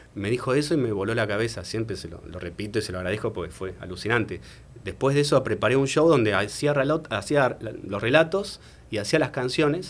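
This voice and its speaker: Fairly quick in pace, a man with an unremarkable speaking voice and medium pitch uses lively intonation. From Argentina. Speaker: singer-songwriter and writer. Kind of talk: interview answer.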